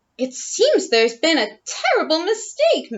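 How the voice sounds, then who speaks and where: Squeaky and extremely high-pitched, a woman does a put-on character voice at a moderate pace, her pitch swinging very widely. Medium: read story. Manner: prim, refined.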